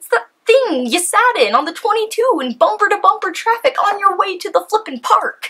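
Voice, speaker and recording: A woman projects her raised voice at an extremely high pitch and a moderate pace. Her pitch swings very widely, and her loudness rises and falls sharply. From California. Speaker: YouTuber. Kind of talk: casual vlog monologue. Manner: animated. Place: home room.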